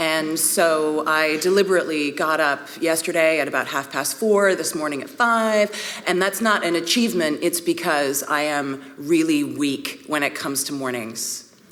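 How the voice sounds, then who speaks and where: With audible room echo and noticeable background noise, a woman speaks at a moderate pace in a very deep, low pitch. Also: ordinary pitch variation. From Canada, Vancouver, British Columbia. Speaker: priest and art historian. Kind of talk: conference talk. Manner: conversational, with fillers.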